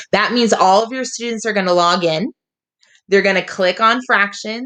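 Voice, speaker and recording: This woman has a plain, everyday voice. Her pitch varies in an ordinary way. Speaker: teacher. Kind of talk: tutorial.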